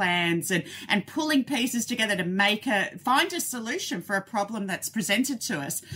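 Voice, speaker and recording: A woman with an Australian accent speaks at a moderate pace in a bright, sharp tone, her fairly high pitch carrying lively intonation. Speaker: zoo veterinarian. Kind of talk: casual interview. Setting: remote call from her office.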